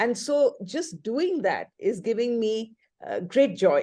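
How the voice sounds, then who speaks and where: A woman is heard against a quiet background. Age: 60s. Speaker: webinar participant. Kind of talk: casual group discussion. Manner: halting, many fillers.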